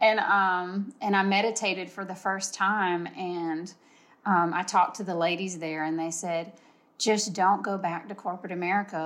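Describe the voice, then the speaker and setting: Against a quiet background, a woman speaks in a normal speaking voice. Her medium pitch stays fairly even at a moderate pace. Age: 40s. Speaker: event organizer. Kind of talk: casual chat.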